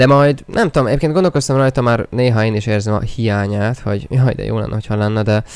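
A man talks at a very fast pace with hardly any pauses, a medium pitch and ordinary pitch variation, against a quiet background with a dry sound and no echo. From Hungary. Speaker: gaming streamer. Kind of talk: live gaming stream commentary. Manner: animated. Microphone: new microphone; studio mic.

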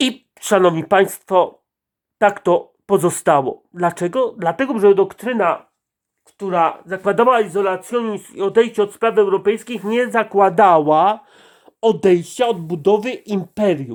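The man's voice is high-pitched for a man, with ordinary pitch variation. He talks at a fairly slow pace. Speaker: political commentator. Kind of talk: monologue. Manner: speeds up.

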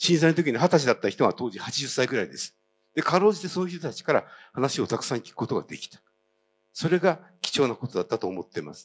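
A man's pitch leaps up and down very widely as he talks very fast. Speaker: citizen historian, activist; speaker. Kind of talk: speech. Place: hall. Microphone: handheld.

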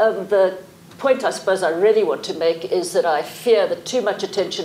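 Against faint background noise, a woman speaks at a fairly low pitch with a slightly mellow tone. She keeps a fairly quick pace and ordinary pitch variation.

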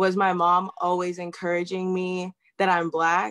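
A woman's bright, sharp voice at a very slow pace over a quiet background. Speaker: chiropractic student; guest. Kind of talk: panel discussion. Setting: video call. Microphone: video call.

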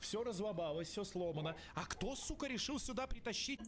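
Speaking at a fairly quick pace, a high-voiced man uses lively intonation.

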